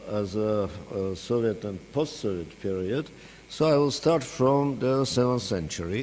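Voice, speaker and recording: Very slow speech from a man with an Armenian accent. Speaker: professor. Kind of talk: lecture. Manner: hesitant, many filler sounds.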